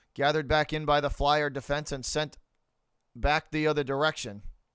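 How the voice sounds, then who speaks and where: A man with an American accent speaks at a fairly high pitch. The recording is very clean, with a silent background. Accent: slight Boston accent, heavy when drinking. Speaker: live-stream hockey commentator. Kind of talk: live play-by-play commentary.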